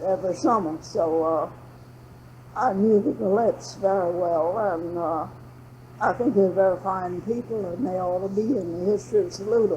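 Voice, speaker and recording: In a Southern accent, a woman with medium pitch talks at a moderate pace with ordinary pitch variation. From Florida (Jacksonville). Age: 90. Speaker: oral history interviewee. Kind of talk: oral history interview. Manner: conversational.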